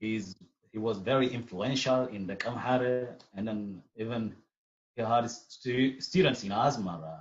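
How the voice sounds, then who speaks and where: A man speaks with an Eritrean accent at a fairly slow pace. His pitch variation is ordinary. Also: medium pitch for a man. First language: Tigrinya. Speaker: artist and musician. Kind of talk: interview. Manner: halting.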